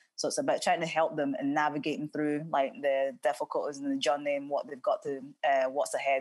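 With a Scottish accent and hardly any pauses, the speech comes through dry with no echo against a quiet background. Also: woman, very deep, low pitch for a woman, fairly quick pace. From Scotland, Cumbernauld. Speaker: former professional footballer. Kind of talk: interview. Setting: video call. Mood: calm, earnest. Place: home room. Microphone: earbuds.

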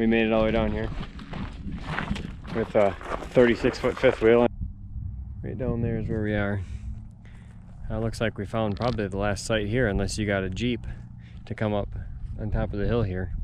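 With noticeable background noise and a dry sound with no echo, a man of fairly low pitch speaks at a moderate pace in fairly even intonation, leaving long, frequent pauses. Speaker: family travel vlogger. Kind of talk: casual vlog chat. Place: open country. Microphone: phone near.

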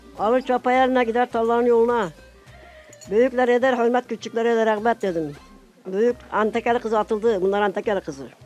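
Music plays behind a woman speaking at a fairly quick pace. Her pitch is fairly high, with ordinary pitch variation. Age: 80s+. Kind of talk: casual family conversation.

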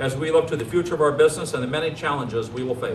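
A man's voice with ordinary pitch variation comes through light background noise and audible room echo. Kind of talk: formal ceremonial speech. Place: street. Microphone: podium.

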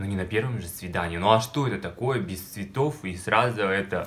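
A man's fairly low voice with ordinary pitch variation at a moderate pace, against light background noise. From Russia, small village. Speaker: video blogger. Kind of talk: personal storytelling vlog. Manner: animated. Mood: playful, dramatic storytelling. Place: home room. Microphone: phone near.

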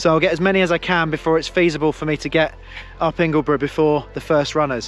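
Faint music plays behind a high-pitched man speaking in a monotone, flat intonation, with a dry sound and no echo. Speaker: running vlogger. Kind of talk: casual vlog chat. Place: open country. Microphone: phone near.

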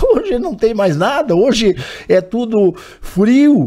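Against a quiet background, a man with a dark, mellow tone speaks very slowly with lively intonation. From Lagoa Vermelha, Rio Grande do Sul, southern Brazil; Rio Grande do Sul, Brazil. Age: 70s. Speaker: former mayor; former mayor, talk show guest. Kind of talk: broadcast interview. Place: studio. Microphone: podium.

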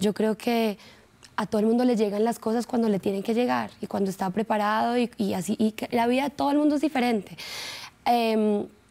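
Fairly quick and very even in loudness, a woman talks with a dark, mellow tone and fairly even intonation. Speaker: actress guest. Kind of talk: interview answer. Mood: relaxed, proud, laughing. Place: studio.

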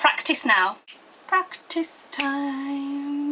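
A woman speaks in a raised, projected voice that sits high in pitch. Light background noise is heard behind her. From Yorkshire, northern England. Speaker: video blogger. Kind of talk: comic tutorial. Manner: animated. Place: home room. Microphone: webcam.

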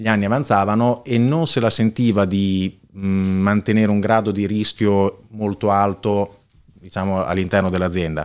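On a very clean recording with a silent background, a man with a Bolognese accent speaks at a fairly low pitch with fairly even intonation. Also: moderate pace. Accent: Bolognese Italian. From Italy, Bologna (Casalecchio di Reno). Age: 30s. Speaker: entrepreneur, heir of a family business. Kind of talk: casual interview.

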